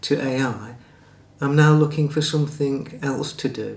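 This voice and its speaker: A man talks at a moderate pace. His fairly high voice is somewhat breathy. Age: 60s. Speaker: former wedding videographer and photographer. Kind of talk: casual talk to camera.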